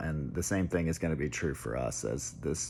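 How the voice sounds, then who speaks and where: With vocal fry and a very deep, low pitch, a man speaks at a fairly quick pace with ordinary pitch variation. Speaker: tech commentator. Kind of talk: casual monologue. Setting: at home. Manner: hesitant, many fillers; soft-spoken.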